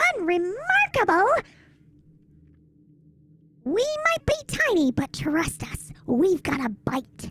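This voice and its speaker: Speaking in a put-on character voice with an extremely high pitch, the speaker moves at a very slow pace with long, frequent pauses. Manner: cute, cheeky.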